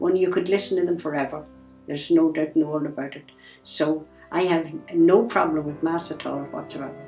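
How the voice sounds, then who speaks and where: A woman speaks with a very deep, low pitch and fairly even intonation at a fairly quick pace. Her loudness swings widely, and music plays in the background. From Ireland. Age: 80s+. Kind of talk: interview answer.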